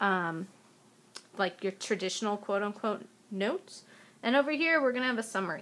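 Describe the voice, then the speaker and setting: A woman's voice at a moderate pace with lively intonation. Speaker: science teacher. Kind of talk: video lecture.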